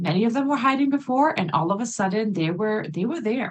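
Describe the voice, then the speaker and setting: A woman with a non-native accent talks at a fairly quick pace, somewhat breathy. Her voice sits fairly high and swings very widely in pitch. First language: not English. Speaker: English teacher, conference speaker. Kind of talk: conference presentation.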